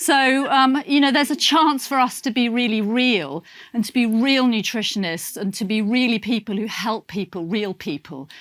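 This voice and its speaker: On a very clean recording with a silent background, a woman with a British accent speaks at a moderate pace, her fairly high pitch carried by lively intonation. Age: 60s. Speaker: nutritionist. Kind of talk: motivational talk. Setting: stage with audience. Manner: halting; animated.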